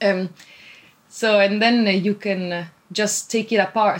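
Speaking with an Italian accent, a woman keeps her intonation monotone and flat. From Italy. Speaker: PhD student and sewing blogger. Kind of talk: casual interview. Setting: remote call.

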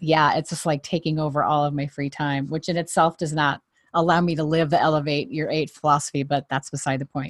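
A woman's very deep, low voice, dry and close with no echo, over a quiet background. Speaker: podcast host. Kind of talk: casual interview. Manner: animated.

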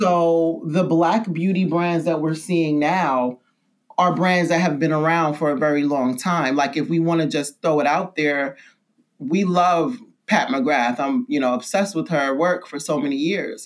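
On a very clean recording with a silent background, a woman with a New York accent speaks at a fairly low pitch and a fairly slow pace, with very even loudness and ordinary pitch variation. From New York City (Brooklyn, Bed-Stuy). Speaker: skincare brand founder. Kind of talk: casual interview. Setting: spa studio.

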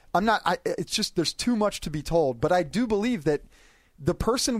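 A man's intonation is lively. He keeps a moderate pace. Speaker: NFL media columnist. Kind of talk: casual chat. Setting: studio.

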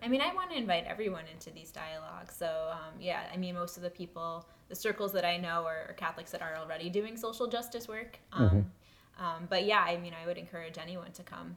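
Rushing at a very fast pace, a woman with a fairly low pitch shows ordinary pitch variation and big swings in loudness. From New York. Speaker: program fellow. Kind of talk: interview. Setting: in a house.

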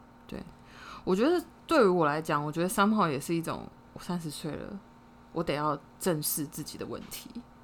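Speaking at a moderate pace with long, frequent pauses, a woman with a fairly low pitch sounds animated, her loudness swinging widely and her pitch varying in an ordinary way. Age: 30s. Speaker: podcast co-host. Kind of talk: casual chat. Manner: animated, frequent laughter.

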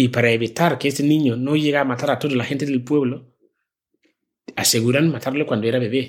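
This man talks fairly quickly at medium pitch with fairly even intonation. His loudness stays very even. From Ghana, rural village. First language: a Ghanaian language (speaking Spanish). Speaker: social entrepreneur, NGO founder. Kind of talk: interview testimony.

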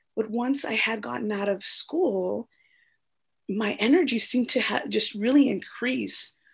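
With an American accent and vocal fry, a woman speaks at a moderate pace in a fairly high pitch with lively intonation. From US, small town, Mexican American family. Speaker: interview guest sharing ADHD story. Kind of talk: casual interview. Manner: hesitant with fillers.

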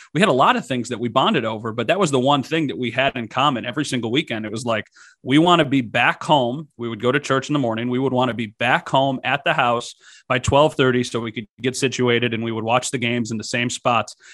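A man with an American accent talks very fast at a medium pitch, with ordinary pitch variation. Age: 20s. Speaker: TV sports director. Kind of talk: casual sports podcast chat.

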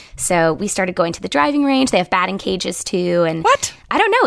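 With an American accent, a woman's pitch swings very widely over noticeable background noise. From rural Ohio, east of Cleveland. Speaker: actor and sustainability podcast host. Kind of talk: casual interview chat.

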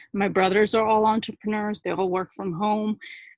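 A woman with a New Jersey accent talks at a moderate pace in a very clean recording with a silent background. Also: dry, close sound with no echo. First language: not English. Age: 30s. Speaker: small business owner and social worker. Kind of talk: casual interview conversation.

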